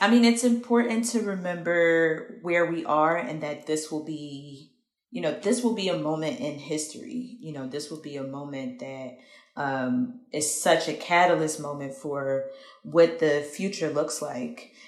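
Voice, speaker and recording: A woman speaks at a fairly slow pace with a very deep, low pitch. Her loudness swings widely, her intonation is lively, and room echo is audible. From Philadelphia, US. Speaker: activist and community organizer. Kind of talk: interview.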